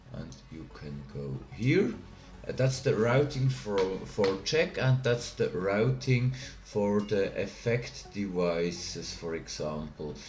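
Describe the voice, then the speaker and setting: A man in a Swiss German accent, fairly low and very slow, with very wide pitch swings, big swings in loudness, audible room echo and music in the background. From Switzerland (Bern). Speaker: tech tutorial youtuber. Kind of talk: tutorial. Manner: halting.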